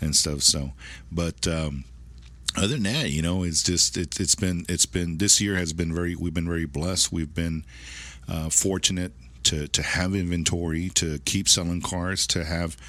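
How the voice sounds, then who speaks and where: In a very clean recording with a silent background, a man with a very deep, low pitch and a bright, sharp tone talks at a moderate pace with fairly even intonation. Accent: American. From South Texas. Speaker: used car dealership manager. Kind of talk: casual interview chat. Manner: halting, many repetitions.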